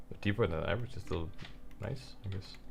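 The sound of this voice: A man talks at a fairly quick pace with a low pitch and ordinary pitch variation. He mumbles, with vocal fry.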